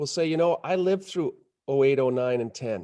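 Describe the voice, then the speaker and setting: A man with an American accent has a dark, mellow tone at a fairly high pitch, with ordinary pitch variation. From Montana, US (Butte). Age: 50s. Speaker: investment banker. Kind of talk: interview.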